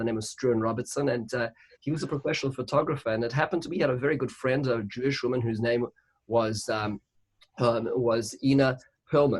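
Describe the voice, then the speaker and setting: A somewhat breathy man with a South African accent. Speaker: rabbi. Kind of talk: interfaith panel discussion. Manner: halting, many repetitions.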